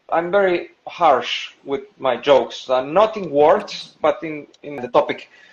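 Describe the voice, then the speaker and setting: Hardly pausing, a man with a Spanish accent talks at a fairly slow pace in a fairly high pitch with ordinary pitch variation. His loudness swings a lot. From Spain, Seville. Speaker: stand-up comedian. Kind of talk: interview. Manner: halting.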